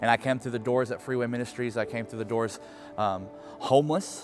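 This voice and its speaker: A man with an American accent, medium pitch and ordinary pitch variation, over music in the background. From US Midwest, Kansas City, Missouri. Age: 30s. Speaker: youth pastor, former prisoner. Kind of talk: testimony. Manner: halting, many fillers.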